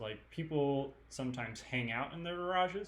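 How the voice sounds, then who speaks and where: Speaking at a fairly slow pace, a man with a Californian accent uses lively intonation. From California, San Mateo. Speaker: student presenter. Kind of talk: online presentation with audience questions. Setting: live stream. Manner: casual, many fillers.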